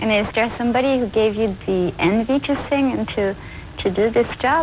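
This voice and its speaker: A French accent with ordinary pitch variation, very even loudness, and noticeable background noise. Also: woman, fairly high pitch for a woman, moderate pace. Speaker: TV interviewer. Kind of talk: interview.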